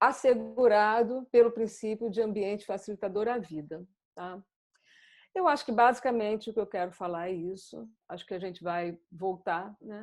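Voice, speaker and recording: Over a quiet background, a woman talks at a moderate pace and medium pitch, with ordinary pitch variation. Her loudness swings widely, and it is an unremarkable speaking voice. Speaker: psychoanalyst presenter. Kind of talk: lecture.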